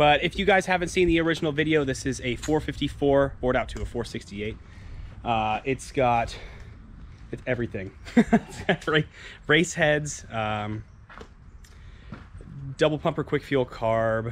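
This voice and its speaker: Over light background noise, a man speaks at a moderate pace with lively intonation and long, frequent pauses, in a dry sound with no echo. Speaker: car vlogger. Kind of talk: casual vlog chat. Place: street. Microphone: phone near.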